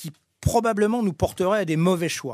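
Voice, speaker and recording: This very clean recording, with a silent background, captures a man talking. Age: 60s. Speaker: former airline executive. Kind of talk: interview. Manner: halting.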